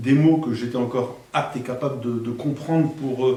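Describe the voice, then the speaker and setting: A man speaks at a medium pitch and moderate pace with ordinary pitch variation, over noticeable background noise and audible room echo. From France, Alençon (Normandy). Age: 60s. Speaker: near-death experience witness. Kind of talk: testimony. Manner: halting.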